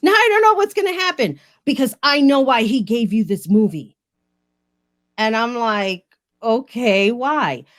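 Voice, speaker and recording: This woman has a New York accent and a high pitch, with very wide pitch swings at a fairly slow pace. The recording is very clean, with a silent background. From New York, the Bronx. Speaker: podcast host. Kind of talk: casual interview chat.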